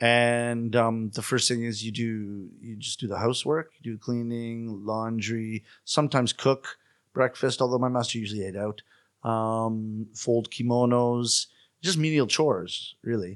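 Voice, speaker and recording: Over a quiet background, a man speaks with a Canadian accent at medium pitch. His pace is fairly slow and his intonation fairly even. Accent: Canadian accent, even in Japanese. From Canada. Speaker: rakugo comedian. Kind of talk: interview conversation. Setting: studio.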